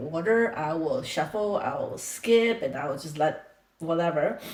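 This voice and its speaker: Audible room echo surrounds a woman speaking with a non-native accent. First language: not English. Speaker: reaction video creator. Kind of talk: casual reaction commentary. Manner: halting.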